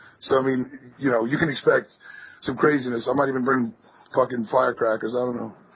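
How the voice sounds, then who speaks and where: The man's intonation is monotone and flat, at a medium pitch with a somewhat breathy quality. His pace is fairly quick. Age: 20s. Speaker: metal band musician. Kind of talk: casual chat.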